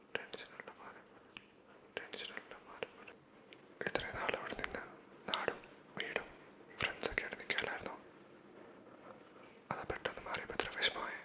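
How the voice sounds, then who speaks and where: There is noticeable background noise as a man whispers. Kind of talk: ASMR sleep personal attention. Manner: soft-spoken; whispered.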